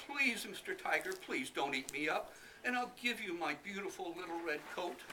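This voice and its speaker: A man with very wide pitch swings over noticeable background noise. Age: 70s. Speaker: library patron reading aloud. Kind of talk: reading aloud; casual talk to audience. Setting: library event with audience.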